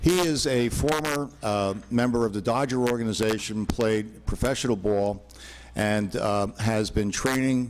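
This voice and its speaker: A man at a medium pitch, fairly slow in pace, with ordinary pitch variation, very even loudness and audible room echo. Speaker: attorney. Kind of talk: public comment presentation. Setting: town board meeting hall with PA.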